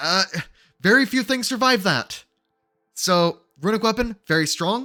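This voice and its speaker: Over music in the background, a man uses a raised, projected voice, high for a man, with very even loudness and a dry, close sound with no echo. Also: ordinary pitch variation. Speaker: gaming guide youtuber. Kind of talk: tutorial. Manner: fast.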